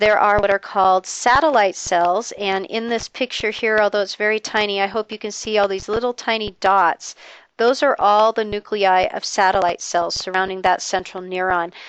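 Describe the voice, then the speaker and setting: With a normal speaking voice, a woman talks at a moderate pace and medium pitch with fairly even intonation and hardly any pauses, the sound dry and close with no echo over a quiet background. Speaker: biology lecturer. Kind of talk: lecture.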